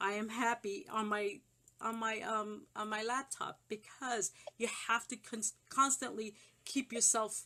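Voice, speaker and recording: Woman's fairly high, bright and sharp voice at a fairly slow pace, with fairly even intonation. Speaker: psychic life coach. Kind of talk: live call-in reading.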